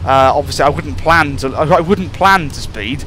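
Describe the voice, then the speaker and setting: A man speaks at a moderate pace with noticeable background noise around him. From UK. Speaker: gaming YouTuber playing train simulator. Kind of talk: gameplay commentary. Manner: animated.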